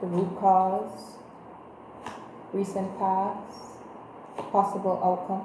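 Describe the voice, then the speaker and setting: A woman speaks at a medium pitch, her voice carrying audible room echo over noticeable background noise. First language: Creole. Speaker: tarot reader. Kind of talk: tarot reading. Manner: casual, conversational with fillers.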